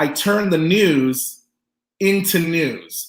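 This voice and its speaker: A high-pitched man speaks amid audible room echo. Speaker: pop artist teaching a business workshop. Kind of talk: online lecture presentation. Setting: online webinar. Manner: animated.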